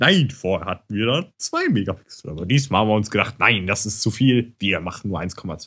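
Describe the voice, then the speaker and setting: A man with an unremarkable speaking voice and a fairly low pitch talks at a moderate pace with lively intonation and hardly any pauses over a quiet background. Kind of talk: casual chat. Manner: relaxed, chatty, self-deprecating.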